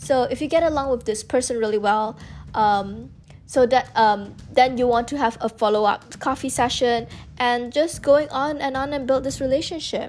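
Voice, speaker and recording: Over music in the background, a woman speaks at a high pitch. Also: ordinary pitch variation, moderate pace. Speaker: student and content creator. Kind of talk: casual chat. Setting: podcast interview.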